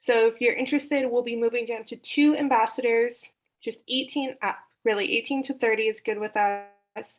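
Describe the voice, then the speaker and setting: A woman's plain, everyday voice, fairly high in pitch, at a moderate pace with fairly even intonation. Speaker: regional representative for youth prevention nonprofit. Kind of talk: meeting report.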